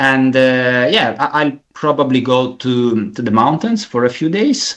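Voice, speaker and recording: A man speaks at a fairly slow pace. He has an Italian accent. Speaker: caller. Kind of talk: casual chat. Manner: halting.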